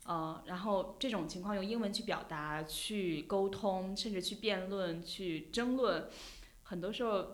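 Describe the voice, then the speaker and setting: A woman talks in a normal speaking voice at a medium pitch. Her pace is fairly slow, with ordinary pitch variation. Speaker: journalist and podcast host. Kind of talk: casual interview chat. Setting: studio, face to face.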